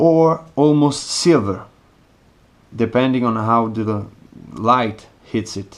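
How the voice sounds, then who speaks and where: Pausing long and often, a man with an Italian accent speaks very slowly at a medium pitch with ordinary pitch variation. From Italy. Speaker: watch reviewer. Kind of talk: product review.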